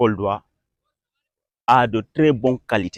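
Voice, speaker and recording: His voice sits at a mid-range pitch. The man delivers his words very slowly. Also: dry, close sound with no echo, very clean recording, silent background. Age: 20s. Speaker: young football referee. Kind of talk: interview. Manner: halting, many repetitions.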